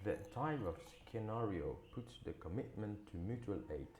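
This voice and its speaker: The voice has a dark, mellow tone and lively intonation, and it is somewhat breathy and fairly slow in pace. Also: man. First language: not English. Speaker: English learner. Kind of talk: news article read aloud.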